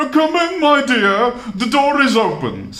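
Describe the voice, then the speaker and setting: A put-on character voice from a man, extremely high in pitch and fairly slow in pace. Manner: fake sweet, imitating a granny.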